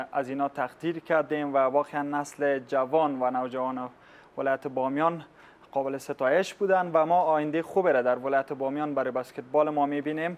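This man's intonation is fairly even. He moves along at a fairly quick pace. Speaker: guest. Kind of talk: interview answer. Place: studio. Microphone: lapel.

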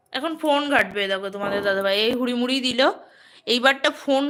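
A raised, projected woman's voice, high in pitch, with ordinary pitch variation. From West Bengal, Nadia district (Ranaghat). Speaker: vlogger. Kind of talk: live stream chat.

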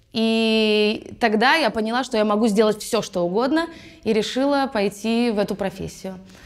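Against a quiet background, the speaker goes at a moderate pace with ordinary pitch variation. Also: woman. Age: 20s. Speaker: musical theatre actress. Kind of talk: actor self-presentation. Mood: cheerful, playful. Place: studio. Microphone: lapel.

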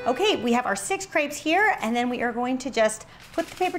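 With music in the background, a woman with an American accent speaks in an upbeat tone at a fairly quick pace. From United States. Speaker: cooking channel host. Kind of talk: cooking tutorial. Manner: upbeat and chatty. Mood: warm, upbeat. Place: kitchen.

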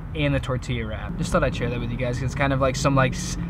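A man talking at a very fast clip, dry with no echo, over loud background noise. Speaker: van life vlogger. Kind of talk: casual vlog chat. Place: car. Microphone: camera far.

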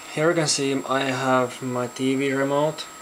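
Someone with a non-native accent speaks at a very slow pace. Light background noise can be heard. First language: not English. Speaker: electronics hobbyist. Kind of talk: casual project demo to camera. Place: home room. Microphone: phone near.

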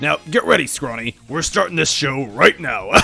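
Over faint music in the background, a man does a put-on character voice at a fairly high pitch and moderate pace, with a bright, sharp tone, vocal fry and lively intonation.

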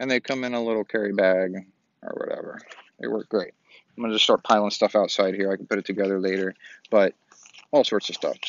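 Fairly bright tone, dry and close with no echo. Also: man.

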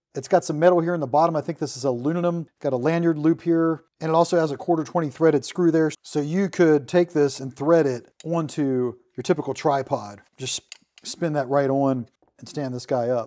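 Over a quiet background, a man speaks at a moderate pace with ordinary pitch variation and a dark, mellow tone. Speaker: tool reviewer. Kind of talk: product demo tutorial. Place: workshop.

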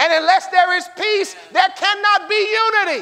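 A man with an American accent speaks at a moderate pace in an animated tone, his raised, projected voice pitched extremely high. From US. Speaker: preacher. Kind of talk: sermon. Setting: church; stage with audience. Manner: call-and-response. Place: church. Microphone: podium.

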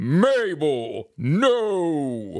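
Pitched in the middle range, this put-on character voice jumps through very wide pitch swings. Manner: stern, firm.

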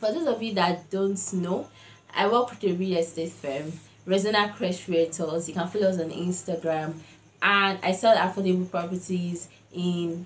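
A woman's somewhat breathy voice at a moderate pace, with fairly even intonation. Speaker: vlogger. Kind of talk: casual vlog chat. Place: home room. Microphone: lapel.

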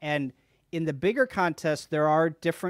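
Recorded with a quiet background, the man's voice has a dry sound with no echo. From US Midwest. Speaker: amateur radio contester. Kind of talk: casual discussion. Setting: video call. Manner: animated. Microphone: studio mic.

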